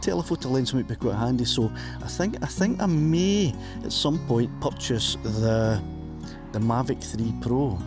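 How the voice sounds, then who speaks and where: Music plays behind a man with a Scottish accent whose medium-pitched voice swings very widely in pitch. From Scotland. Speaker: drone pilot. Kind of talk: casual commentary while flying a drone. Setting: outdoors.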